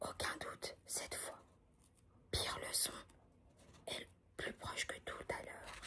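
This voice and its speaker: Someone whispers at a very slow pace. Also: woman. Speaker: ASMR content creator. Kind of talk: whispered audiobook reading. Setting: studio, close-mic ASMR. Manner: whispered, soft, calming.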